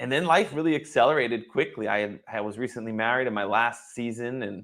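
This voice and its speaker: A man talks at a fairly quick pace. He has an ordinary speaking voice at medium pitch. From Boston area. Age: 40s. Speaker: wealth advisor. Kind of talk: interview. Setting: live stream.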